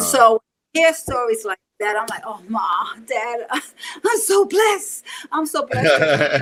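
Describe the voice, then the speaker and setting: In a New York accent, the speaker moves at a fairly slow pace with very wide pitch swings and long, frequent pauses. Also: woman, high pitch for a woman. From Bronx, New York City. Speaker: martial artist and self-defense teacher. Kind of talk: interview answer.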